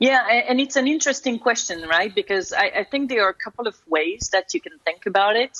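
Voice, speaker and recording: With a French accent, a woman speaks at a fairly quick pace in a high voice, her pitch swinging very widely with hardly any pauses. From France. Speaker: corporate security executive. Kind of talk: interview.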